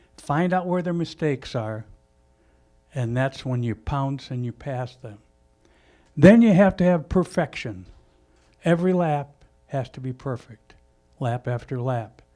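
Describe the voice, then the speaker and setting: With an American accent and lively intonation, a man speaks fairly slowly at a fairly high pitch, taking long, frequent pauses over music in the background. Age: 70s. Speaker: racing veteran. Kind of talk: speech at a launch event. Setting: live event with audience.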